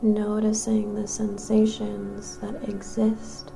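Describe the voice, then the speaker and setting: Music plays behind the speaker. She is a woman talking very slowly. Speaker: meditation guide. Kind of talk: yoga nidra guided meditation. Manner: soothing, slow, calm.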